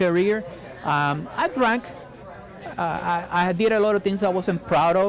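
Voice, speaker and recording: With a Spanish accent, a high-pitched man talks at a fairly slow pace while crowd noise sounds in the background. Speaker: military veteran and marketing business owner. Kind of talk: interview. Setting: cafe, live recording. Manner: halting, many repetitions and fillers.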